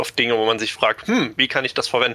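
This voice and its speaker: A man is talking. His pace is fairly quick. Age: 20s. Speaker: hobby game master. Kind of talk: interview.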